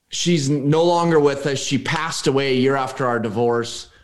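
A man speaks with an American accent and a fairly high pitch. His intonation is lively. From US Pacific Northwest, Oregon. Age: 40s. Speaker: real estate investor and business coach. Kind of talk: casual interview conversation.

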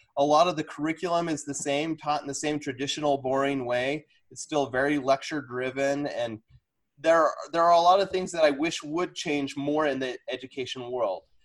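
A normal speaking voice from a man, fairly high-pitched for a man, at a moderate pace with fairly even intonation. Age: 40s. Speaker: fifth grade teacher. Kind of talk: casual interview.

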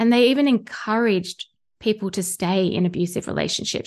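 A woman speaks in an Australian accent with a fairly high pitch. Her pace is moderate against a quiet background. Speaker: spiritual mentor and tarot reader. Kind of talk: casual interview conversation.

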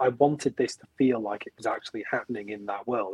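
A man with a Welsh accent, fairly even intonation and a dry, close sound with no echo. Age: 30s. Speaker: film director. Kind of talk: interview.

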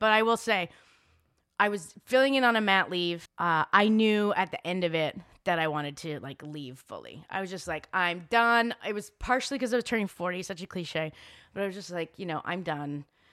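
On a very clean recording with a silent background, a woman with a Canadian accent talks at a moderate pace in a medium pitch, her bright, sharp tone showing lively intonation and big swings in loudness. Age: 40s. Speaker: journalist and filmmaker. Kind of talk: casual interview.

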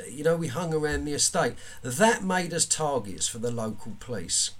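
With noticeable background noise behind him, a man talks at a moderate pace, his pitch swinging very widely. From South East London (Woolwich). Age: 50s. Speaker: author and former offender. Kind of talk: interview, personal life story. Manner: repetitive, stumbling starts.

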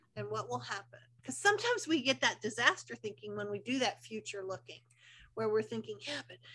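A woman speaks in an animated tone with very wide pitch swings. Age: 60s. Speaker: unschooling advocate and parent coach. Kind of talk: casual interview. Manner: animated, laughs often.

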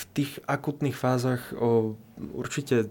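Here a man speaks with a dark, mellow tone. His pace is fairly slow. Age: 20s. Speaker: medical student and back pain patient. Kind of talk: interview. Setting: studio. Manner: halting.

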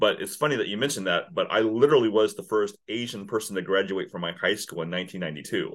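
With an American accent and a plain, everyday voice, a man of medium pitch talks fairly quickly with lively intonation. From Kansas. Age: 50s. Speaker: business owner, sales consultant. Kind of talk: interview.

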